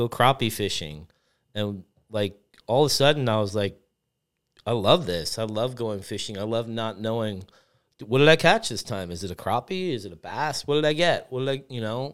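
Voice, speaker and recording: The speaker's intonation is lively and the pace moderate. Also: man, medium pitch for a man. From US Northeast. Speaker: chef. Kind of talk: casual chat. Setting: studio.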